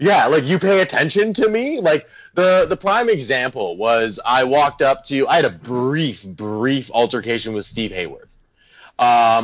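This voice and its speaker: At a moderate pace, a man talks with a fairly high pitch and very wide swings up and down. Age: 20s. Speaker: body piercer. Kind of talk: casual interview chat. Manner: animated, chatty.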